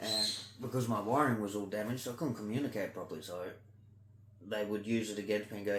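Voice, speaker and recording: A man with a fairly low pitch amid audible room echo. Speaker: vlogger doing ear candling. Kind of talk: casual monologue vlog. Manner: loud.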